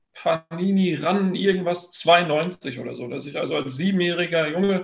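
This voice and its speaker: High male voice, its intonation fairly even. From Ruhr area, western Germany (near Dortmund). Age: 30s. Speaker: trading card business owner and content creator. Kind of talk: podcast interview.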